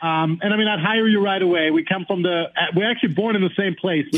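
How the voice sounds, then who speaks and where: A man speaks at a high pitch with ordinary pitch variation and a fairly quick pace. His loudness is very even, and there is noticeable background noise. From Germany. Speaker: tech startup founder. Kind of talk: casual chat.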